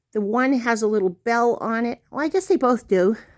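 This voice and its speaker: A woman speaks in an ordinary speaking voice, fairly high-pitched with normal rise and fall, recorded dry and close with no echo. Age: 60s. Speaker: doll collector vlogger. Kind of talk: show-and-tell vlog. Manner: gentle, chatty.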